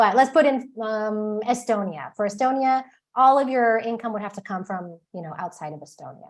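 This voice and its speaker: Over a quiet background, a woman talks in a fairly high voice. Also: lively intonation, big swings in loudness. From Texas. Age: 40s. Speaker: author and expat advisor. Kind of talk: webinar presentation. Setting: live online webinar. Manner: fast.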